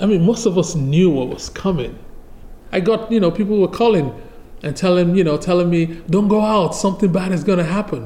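A man talks at a moderate pace with a high pitch and lively intonation. There is noticeable background noise. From Nigeria. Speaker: photojournalist, former firefighter. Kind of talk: interview. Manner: halting.

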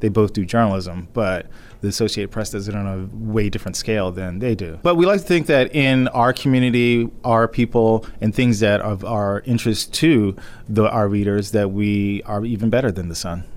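Here a man talks at a moderate pace with a fairly low pitch and ordinary pitch variation. It is an ordinary speaking voice. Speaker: managing editor. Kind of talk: interview.

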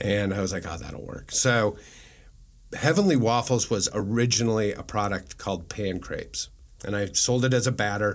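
With an unremarkable speaking voice, a man talks at a moderate pace and a fairly low pitch. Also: ordinary pitch variation. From Nebraska, Omaha. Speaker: food entrepreneur. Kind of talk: interview. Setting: studio.

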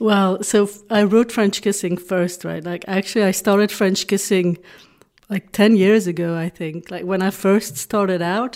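Using fairly even intonation and a moderate pace, a woman with a Dutch accent speaks at medium pitch. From Belgium (Flanders). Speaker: romance novelist. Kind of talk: interview.

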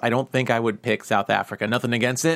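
This is a man with a plain, everyday voice and an American accent. His medium pitch follows fairly even intonation. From New York. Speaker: podcast co-host. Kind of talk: casual chat. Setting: studio.

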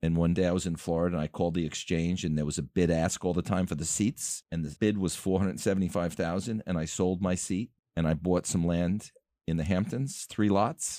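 A man with an American accent talks fairly quickly in a very deep, low voice with a dark, mellow tone and fairly even intonation. The recording is very clean, dry and close, with a silent background and no echo. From Long Island, New York. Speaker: luxury home builder. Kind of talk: interview.

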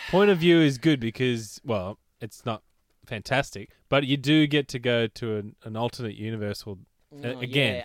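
A man with an Australian accent, medium pitch and ordinary pitch variation, at a moderate pace, in a dry, close sound with no echo. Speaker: podcast co-host.

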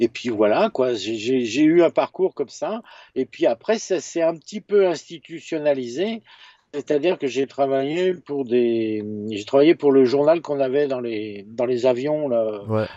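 Fairly high in pitch, a man speaks at a fairly slow pace with lively intonation. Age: 50s. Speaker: photojournalist and author. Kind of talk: casual interview. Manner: halting, many repetitions and fillers.

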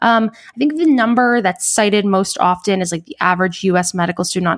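A woman with an American accent has an unremarkable speaking voice at medium pitch. She talks at a fairly quick pace with ordinary pitch variation. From New York. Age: 30s. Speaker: cardiologist. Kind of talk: interview.

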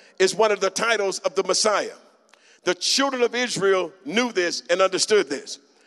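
Recorded dry and close with no echo, a man with a high pitch talks at a moderate pace with ordinary pitch variation. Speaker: preacher. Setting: church with a live congregation.

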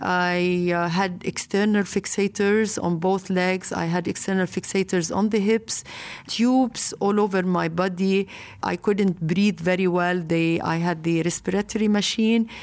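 A woman with a Lebanese accent, medium pitch, fairly slow pace, fairly even intonation and very even loudness. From Lebanon. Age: 50s. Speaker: marathon founder. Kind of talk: interview. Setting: remote interview from Beirut.

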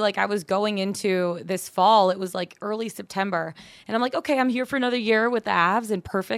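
The speaker talks at a fairly quick pace with hardly any pauses and ordinary pitch variation. The recording is very clean, with a silent background. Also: woman. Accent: American. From Michigan, north of Detroit. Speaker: sports sideline reporter. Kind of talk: casual interview. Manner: animated.

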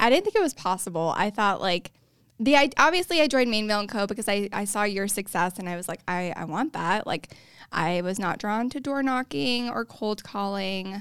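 On a very clean recording with a silent background, a woman speaks at a medium pitch. Her intonation is lively and her pace moderate. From moved around as a military child; calls Colorado home. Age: 20s. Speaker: real estate agent. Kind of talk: casual interview. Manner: mellow.

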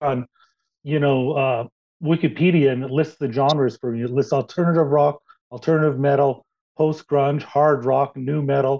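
An ordinary speaking voice with fairly even intonation at a moderate pace. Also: man. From Canada. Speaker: podcast host. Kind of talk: casual interview.

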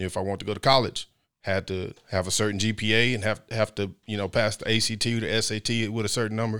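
Delivered at a very fast pace in a monotone, flat intonation, the bright, sharp voice carries an American accent on a very clean recording with a silent background. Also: man, fairly low pitch for a man. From Midland, Texas. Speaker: former football player. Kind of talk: podcast interview.

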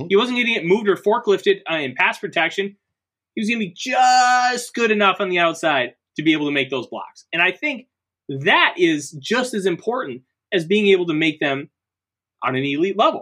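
A man speaks at a fairly quick pace in a raised, projected voice of high pitch, bright and sharp in tone. His delivery is animated, with very wide pitch swings. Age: 30s. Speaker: sports podcast host. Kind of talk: casual chat.

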